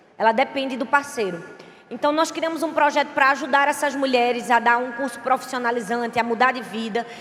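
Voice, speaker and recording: A woman's high-pitched, animated voice with a strong northeastern Brazilian accent, at a fairly quick pace over noticeable background noise. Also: ordinary pitch variation. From Brazilian Northeast. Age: 30s. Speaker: pastor. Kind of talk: sermon; casual talk to audience. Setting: stage with audience.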